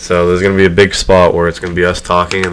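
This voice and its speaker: A man's very deep, low voice at a very fast pace, with noticeable background noise. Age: 20s. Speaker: podcast host and gamer YouTuber. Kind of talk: casual chat. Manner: soft-spoken.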